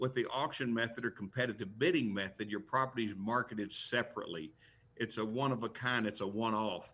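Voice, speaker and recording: A man with an American accent talks very fast at a medium pitch with ordinary pitch variation. His tone is bright and sharp, and the recording is very clean with a silent background. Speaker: professional auctioneer and real estate auctioneer. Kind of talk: interview answer on a live news talk show.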